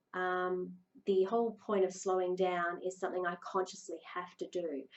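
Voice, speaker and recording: This woman has an ordinary speaking voice at medium pitch. She talks at a moderate pace. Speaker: leadership coach. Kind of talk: video talk. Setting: recorded video.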